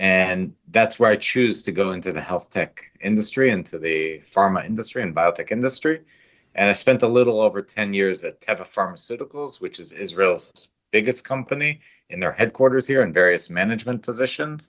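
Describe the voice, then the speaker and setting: Speaking in an American accent at a fairly quick pace, a man has an ordinary speaking voice, fairly low in pitch, with lively intonation. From United States. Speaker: biotech company CEO. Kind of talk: interview. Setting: podcast.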